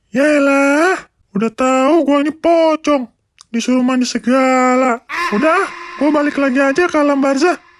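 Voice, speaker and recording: Someone performs a put-on character voice at a high pitch and a moderate pace. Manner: giggly, playful.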